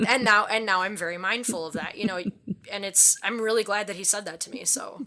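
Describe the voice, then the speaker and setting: Noticeable background noise accompanies a woman with a Midwestern accent who speaks at a medium pitch with ordinary pitch variation. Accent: Midwest accent, strong O's. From Wisconsin, US Midwest. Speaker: safety specialist. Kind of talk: interview conversation. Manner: casual, many fillers.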